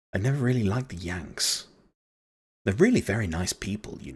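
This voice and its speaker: Putting on a croaky character voice, a man talks at a fairly quick pace and fairly low pitch, with lively intonation and big swings in loudness. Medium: read story. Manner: gruff.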